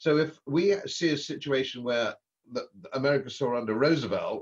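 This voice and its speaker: A man's somewhat breathy, fairly high voice with an English accent and ordinary pitch variation. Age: 70s. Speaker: former politician and economist. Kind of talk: podcast interview. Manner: animated.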